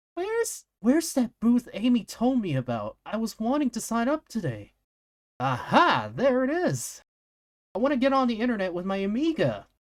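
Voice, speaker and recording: This is a put-on character voice. It sits at a fairly high pitch and moves at a moderate pace. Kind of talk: comic read-aloud on stream. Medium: game stream.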